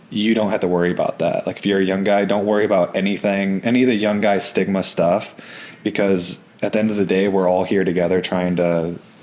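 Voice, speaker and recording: A man talks at a very fast pace in a fairly low pitch, with monotone, flat intonation and very even loudness. Noticeable background noise runs behind him. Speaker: professional baseball pitcher. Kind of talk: podcast interview answer. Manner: soft-spoken, smooth.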